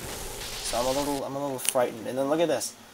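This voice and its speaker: Over noticeable background noise, a man talks at medium pitch and a very fast pace. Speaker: gaming video creator. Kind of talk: gameplay commentary. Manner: halting.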